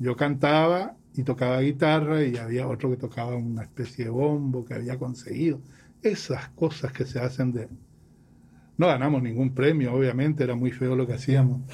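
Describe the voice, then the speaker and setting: At a moderate pace, a man with a medium pitch and a dark, mellow, somewhat breathy tone speaks with fairly even intonation. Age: 60s. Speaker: professor and musician. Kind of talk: interview.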